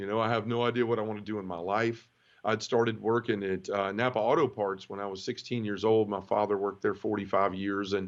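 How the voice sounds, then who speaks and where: Over a quiet background, a man talks at a very fast pace in a Memphis accent. His intonation is monotone and flat. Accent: Southern US (Memphis). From US South, Memphis, Tennessee. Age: 30s. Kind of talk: testimony. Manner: casual, conversational.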